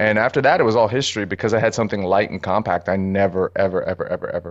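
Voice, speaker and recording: Against a quiet background, a man with an American accent talks at a very fast pace and a fairly low pitch. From New York City (Harlem, Brooklyn, Bronx). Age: 30s. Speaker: street and portrait photographer. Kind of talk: casual interview chat.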